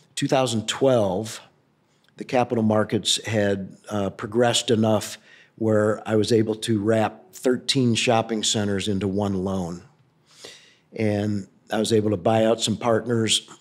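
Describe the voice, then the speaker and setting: A man speaks with a Midwestern American accent at a fairly low pitch. His pace is fairly slow and his intonation monotone and flat. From US Midwest, St. Louis, Missouri. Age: 60s. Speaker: real estate company founder. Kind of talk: interview. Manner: hesitant, many fillers.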